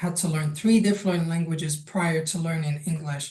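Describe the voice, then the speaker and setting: Somewhat breathy and dark, mellow in tone, a woman's very deep, low voice holds fairly even intonation amid audible room echo. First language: Arabic, French and Spanish. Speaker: language access project manager. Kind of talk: online workshop presentation.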